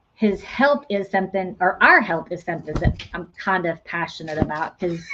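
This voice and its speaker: A woman's voice at medium pitch, with ordinary pitch variation. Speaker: livestream host, homesteading channel. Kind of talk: casual livestream chat. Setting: live video stream. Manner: fast; animated.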